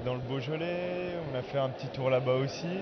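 There is noticeable background noise. Over it, a man speaks with a fairly high pitch. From Alsace, France. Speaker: winegrower. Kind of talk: casual interview.

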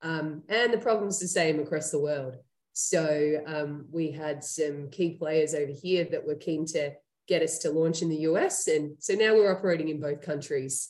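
With an Australian accent, a woman speaks at a moderate pace. Her voice is very deep and low, with ordinary pitch variation. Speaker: startup CEO and co-founder. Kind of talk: casual interview. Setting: video call.

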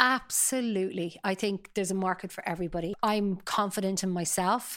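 Speaking in a Dublin accent, a woman keeps a medium pitch and fairly even intonation at a moderate pace. The recording is very clean, with a silent background. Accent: Dublin Irish. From Ireland, Dublin (Sutton). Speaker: talent agency founder. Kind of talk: interview.

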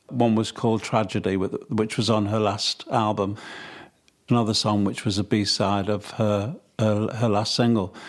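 In a Mancunian accent, a man speaks with a fairly low pitch and a monotone, flat intonation, and the recording is very clean with a silent background. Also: moderate pace. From Manchester, England. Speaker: songwriter and record producer. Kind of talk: interview.

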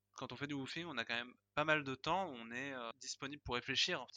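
At medium pitch, a man talks at a fairly quick pace with fairly even intonation and a bright, sharp tone. The recording is dry and close with no echo, and the background is quiet. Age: 20s. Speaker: guesthouse co-owner training to be a farmer. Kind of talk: testimony.

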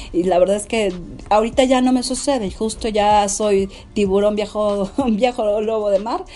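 This woman's voice is fairly high in pitch and dark, mellow in tone. She talks at a moderate pace. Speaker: businesswoman. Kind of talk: interview.

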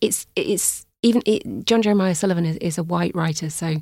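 A woman with an unremarkable speaking voice, fairly low in pitch, talks at a moderate pace with fairly even intonation, on a very clean recording with a silent background and a dry, close sound with no echo. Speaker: music journalist and broadcaster. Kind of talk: casual interview chat. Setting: studio.

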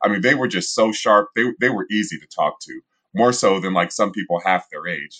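A man with an American accent and a normal speaking voice, fairly low in pitch with ordinary pitch variation, at a moderate pace in a dry, close sound with no echo. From Columbus, Ohio, US Midwest. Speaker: journalist and documentary director. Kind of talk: interview.

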